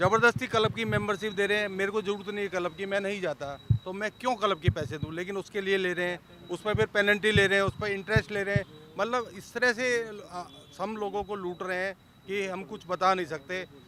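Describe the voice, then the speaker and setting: A man raises and projects his voice at a high pitch, with fairly even intonation. Noticeable background noise sits under the recording. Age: 60s. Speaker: residents' association member. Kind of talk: media interview, complaint. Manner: hesitant with fillers.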